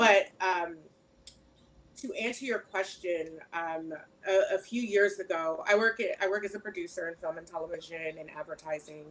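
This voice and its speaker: At a moderate pace, a woman with a medium pitch and ordinary pitch variation speaks with big swings in loudness. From New Jersey. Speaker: film and TV producer. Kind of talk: panel discussion. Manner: hesitant, many fillers.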